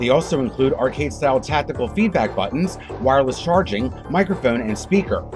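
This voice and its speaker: Music plays in the background. The speech is very fast, with very wide pitch swings. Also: man. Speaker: podcast host. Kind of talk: news podcast narration.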